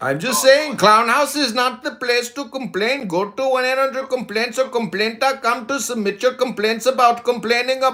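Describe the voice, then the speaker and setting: A man speaks at a moderate pace in an extremely high pitch, his raised, projected voice running with hardly any pauses and fairly even intonation. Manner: cracking on cuss words.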